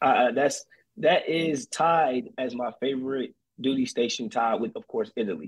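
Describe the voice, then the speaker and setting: In a normal speaking voice, a man with an American accent talks at a moderate pace and fairly high pitch with lively intonation. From North Carolina, Fayetteville. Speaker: army recruiter, soldier. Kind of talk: casual interview chat. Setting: remote call by phone.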